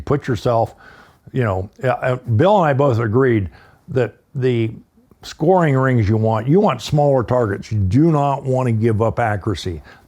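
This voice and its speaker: The speaker has an American accent and a dark, mellow tone that is somewhat breathy. Pitch varies in an ordinary way. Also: man. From eastern US. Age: 70s. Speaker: firearms instructor. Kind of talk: casual chat.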